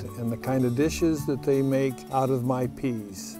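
Over clear music in the background, a man speaks at a fairly slow pace in a dry sound with no echo. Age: 80s+. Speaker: plant breeder. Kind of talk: documentary interview answer. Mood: warm, content, enthusiastic. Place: farm machine. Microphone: lapel.

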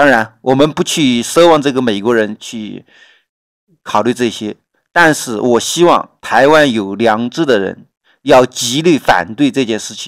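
A very clean recording with a silent background, at a fairly slow pace with ordinary pitch variation. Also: man, medium pitch for a man. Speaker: political commentary vlogger. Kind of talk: solo political commentary. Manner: halting, many fillers.

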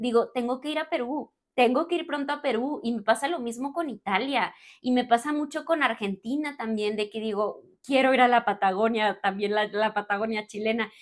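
Against a quiet background, a woman with a high-pitched voice speaks at a moderate pace in an animated tone with ordinary pitch variation. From Mexico, Torreón, Coahuila; Coahuila, Mexico. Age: 30s. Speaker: spiritual coach and content creator; spiritual coach, content creator. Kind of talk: casual Q&A monologue to camera. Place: home room.

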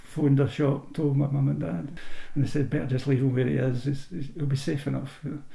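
A man with a fairly high, somewhat breathy voice and a dark, mellow tone speaks at a fairly quick pace, with audible room echo. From Scotland, Irvine in Ayrshire. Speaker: oral history interviewee. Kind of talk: personal storytelling. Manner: halting, with repetitions.

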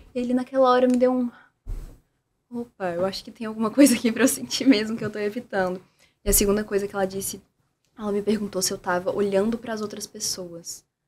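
A woman talks at a very fast pace with long, frequent pauses, ordinary pitch variation, and big swings in loudness. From Brazil, Minas Gerais. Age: 20s. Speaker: therapist and communicator; podcast guest. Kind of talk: casual chat. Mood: reflective, warm, personal story. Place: studio. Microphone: studio mic.

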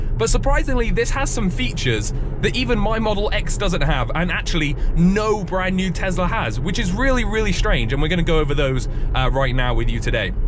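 Over noticeable background noise, a man talks at a fairly quick pace with very even loudness. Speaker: car channel host driving. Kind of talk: casual vlog commentary. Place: car.

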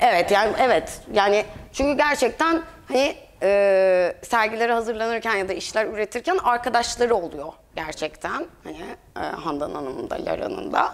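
Her fairly high pitch swinging very widely, a woman talks at a moderate pace. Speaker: curator. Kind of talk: exhibition talk. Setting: gallery with audience. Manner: hesitant, many filler sounds. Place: hall.

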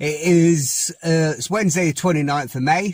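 Against a quiet background, a man's somewhat breathy voice comes through dry, with no echo. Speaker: fishing vlogger. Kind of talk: casual vlog chat. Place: car. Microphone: phone near.

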